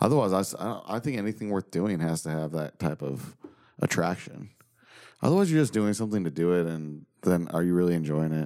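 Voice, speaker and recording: With an American accent and a fairly quick pace, a man speaks in a very deep, low pitch, his tone dark and mellow, with ordinary pitch variation. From Missouri, US Midwest. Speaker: country music artist. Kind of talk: casual chat. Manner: halting.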